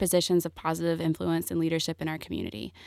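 Flat, monotone speech from a woman with a Southern US accent and fairly low pitch, in a very clean, dry, close recording with a silent background and no echo. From US South, Greenville, South Carolina. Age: 20s. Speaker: entrepreneur. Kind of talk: interview.

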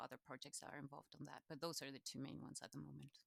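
Recorded dry and close with no echo, a woman speaks with vocal fry. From Chile. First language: Spanish. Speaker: knowledge exchange manager at a farming charity. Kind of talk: interview conversation.

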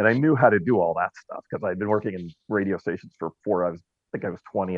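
With an American accent, the speaker has an ordinary speaking voice and fairly even intonation. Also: man. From Southern California (Orange County). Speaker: talk radio host. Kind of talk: casual interview chat. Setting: Clubhouse audio room.

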